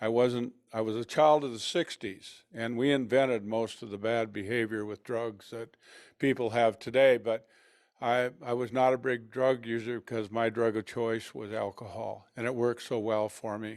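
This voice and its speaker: In a very clean recording with a silent background, a man speaks with an American accent at a moderate pace. His medium-pitched voice has monotone, flat intonation. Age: 70s. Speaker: person in recovery. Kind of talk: testimony. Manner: halting.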